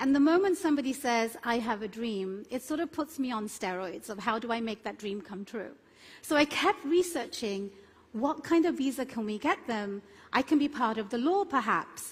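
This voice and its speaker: In a London accent, a woman talks at a moderate pace and a high pitch with very wide pitch swings, on a very clean recording with a silent background. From London, England. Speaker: immigration attorney. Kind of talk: conference keynote talk.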